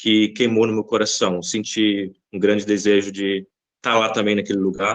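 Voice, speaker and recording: In a monotone, flat delivery, a man speaks at a fairly low pitch. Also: moderate pace. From Brazil, Bahia. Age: 20s. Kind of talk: podcast interview.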